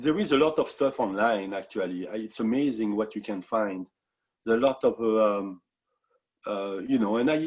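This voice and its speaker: A man of medium pitch speaks in a French accent at a moderate pace, with ordinary pitch variation. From France. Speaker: musician. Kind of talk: interview. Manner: halting.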